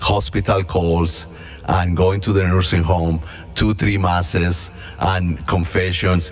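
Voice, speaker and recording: Over noticeable background noise and audible room echo, a man with a very deep, low pitch speaks at a very slow pace with fairly even intonation. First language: not English. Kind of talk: mission talk / reflection. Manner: halting.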